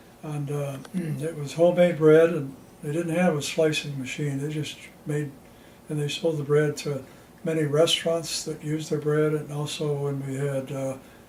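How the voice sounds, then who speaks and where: Noticeable background noise sits under a man with an American accent whose fairly high voice stays monotone and flat. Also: moderate pace. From Ohio, USA. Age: 80s+. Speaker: retired sales engineer. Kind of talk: interview answer.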